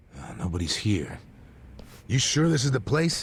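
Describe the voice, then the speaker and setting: A man puts on a raspy character voice at a moderate pace. His pitch is medium, with very wide pitch swings. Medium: video game.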